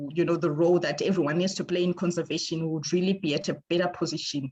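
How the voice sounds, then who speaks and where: A woman talks at a fairly quick pace in a fairly low, somewhat breathy voice. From Zimbabwe. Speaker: ecologist. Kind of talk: presentation. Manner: halting, many fillers.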